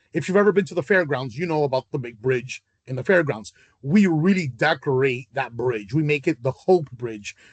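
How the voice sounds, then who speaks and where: Somewhat breathy delivery with lively intonation. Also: man, fairly high pitch for a man. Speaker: charity event organizer. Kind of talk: video call meeting. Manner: fast; hesitant, many fillers.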